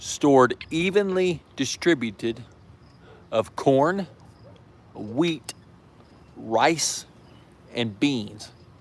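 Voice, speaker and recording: With an American accent, a man speaks very slowly at a fairly high pitch, his intonation lively and his speech marked by long, frequent pauses. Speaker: prepper channel host. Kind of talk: live stream chat. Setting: outdoors in backyard. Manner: casual, hesitant with fillers.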